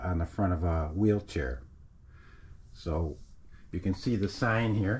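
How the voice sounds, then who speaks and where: A somewhat breathy man speaks with a very deep, low pitch. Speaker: repair channel host. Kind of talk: tutorial. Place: garage. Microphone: phone near.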